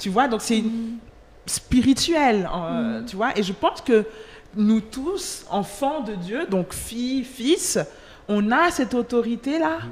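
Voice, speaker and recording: Pitched fairly high, a woman's voice moves very slowly while swinging very widely in pitch. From Switzerland (Geneva), Nigerian-Angolan family. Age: 20s. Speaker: trainee lawyer and worship singer. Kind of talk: casual chat.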